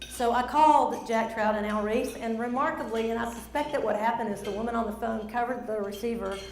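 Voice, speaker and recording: A woman with a strong Southern accent and a fairly high pitch at a fairly quick pace, with audible room echo and noticeable background noise. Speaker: speaker. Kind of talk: presentation. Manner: animated.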